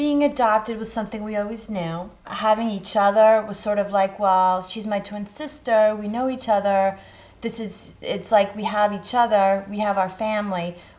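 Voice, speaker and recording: A woman's unremarkable speaking voice at medium pitch, moderate pace with hardly any pauses, and fairly even intonation. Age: 30s. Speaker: breast cancer survivor. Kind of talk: interview answer.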